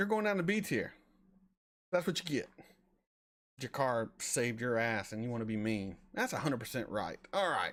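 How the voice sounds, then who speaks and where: An animated man at medium pitch with lively intonation and a slight Southern US accent, on a very clean recording with a silent background. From US South, North Florida near Alabama. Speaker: reaction streamer. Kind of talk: live stream chat. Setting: live stream. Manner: casual, animated.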